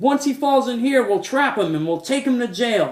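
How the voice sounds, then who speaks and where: A man's put-on character voice, extremely high-pitched, at a moderate pace. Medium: read story.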